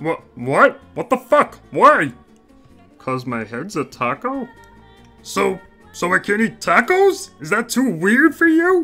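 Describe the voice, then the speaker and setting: This put-on character voice sits fairly high in pitch and moves at a fairly slow pace, with long, frequent pauses and faint music in the background. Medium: read story. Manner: aggressive, irritated.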